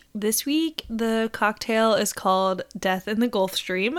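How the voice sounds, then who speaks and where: On a very clean recording with a silent background, a woman speaks at a fairly slow pace with fairly high pitch. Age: 20s. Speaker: podcast host. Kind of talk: casual monologue. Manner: animated.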